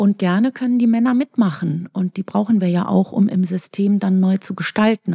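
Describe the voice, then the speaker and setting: A woman's somewhat breathy, dark, mellow voice at a medium pitch, with ordinary pitch variation, a moderate pace and dry, close sound with no echo. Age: 50s. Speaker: physician and author. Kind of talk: interview.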